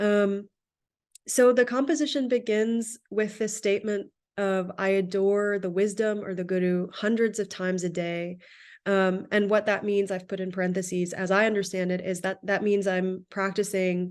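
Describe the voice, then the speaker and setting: An unremarkable speaking voice from a woman, medium in pitch, with fairly even intonation, a moderate pace and a quiet background. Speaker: research associate presenting on Sikh teachings. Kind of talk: lecture.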